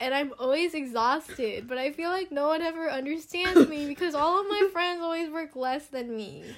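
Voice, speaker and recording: With an American accent, a woman speaks in a high voice using ordinary pitch variation. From Stockton, California. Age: young. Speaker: business student. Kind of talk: casual chat.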